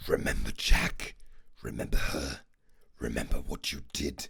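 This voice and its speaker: A man whispering in a put-on character voice. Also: moderate pace. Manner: threatening whisper.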